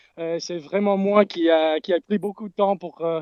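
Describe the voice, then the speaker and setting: Against a quiet background, a man with a slight English-Canadian accent speaks in a high pitch with fairly even intonation, the sound dry and close with no echo. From Canada. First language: English (speaking French). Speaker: crypto community member. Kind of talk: live audio space talk. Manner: halting.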